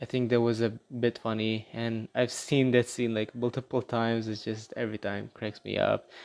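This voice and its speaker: A man's medium-pitched voice with a Middle Eastern accent. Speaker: gaming youtuber. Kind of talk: casual video commentary. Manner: casual, hesitant with fillers.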